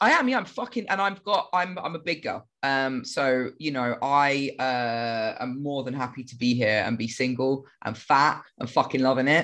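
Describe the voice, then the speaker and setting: A woman's very deep, low voice in a British accent, at a moderate pace with ordinary pitch variation, hardly any pauses and a quiet background. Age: 30s. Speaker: podcast co-host. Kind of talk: casual chat.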